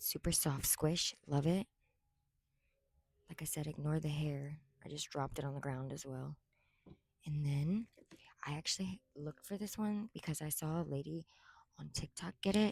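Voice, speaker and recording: Somewhat breathy and very deep, low-pitched, a woman speaks at a moderate pace with long, frequent pauses and ordinary pitch variation, in a dry, close sound with no echo. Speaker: content creator reviewing toys. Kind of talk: casual product review. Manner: whispering.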